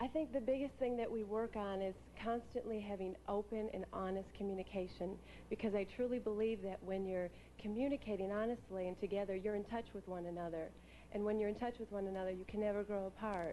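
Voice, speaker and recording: With noticeable background noise, a woman talks very fast at a medium pitch and with fairly even intonation. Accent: American. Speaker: pageant contestant. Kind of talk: pageant interview answer. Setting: stage with audience.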